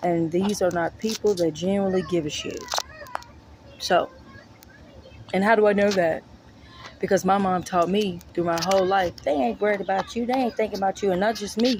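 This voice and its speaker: There is noticeable background noise as a woman speaks at a medium pitch with ordinary variation. Her pace is fairly quick, broken by long, frequent pauses. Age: 30s. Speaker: vlogger, mother. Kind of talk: personal vlog monologue.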